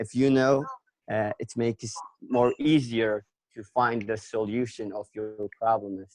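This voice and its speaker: A man's medium-pitched voice with a Kurdish accent, fairly slow, with big swings in loudness, in a dry, close sound with no echo. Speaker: English language learner. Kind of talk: conversation practice discussion. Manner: halting, many fillers.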